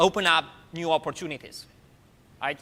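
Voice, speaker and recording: The man's voice is high-pitched, with a bright, sharp tone. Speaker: university professor. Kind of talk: lecture. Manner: fast.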